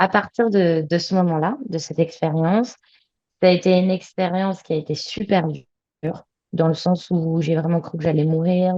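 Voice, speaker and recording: With a dark, mellow tone and a fairly low pitch, this woman talks at a moderate pace. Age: 30s. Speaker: adventurer. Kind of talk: interview. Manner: many fillers.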